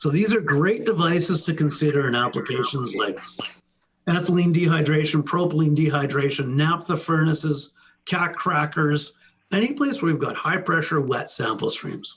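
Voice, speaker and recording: This is a man with a normal speaking voice, pitched fairly high, with ordinary pitch variation. His loudness stays very even at a moderate pace. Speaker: sales engineer presenting products. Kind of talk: webinar product presentation. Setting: online webinar.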